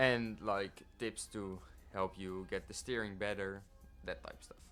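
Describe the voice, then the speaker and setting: A man speaks in a flat monotone at a fairly slow pace, with a non-native accent and a fairly low pitch. His loudness swings widely while music plays in the background. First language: not English. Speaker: sim racing gamer. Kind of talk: tutorial. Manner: halting.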